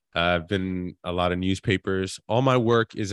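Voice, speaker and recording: Moderate pace and fairly even intonation from a man with a very deep, low pitch, in a dry, close sound with no echo. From Queens, New York. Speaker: actor and author. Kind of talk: interview. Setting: live online event.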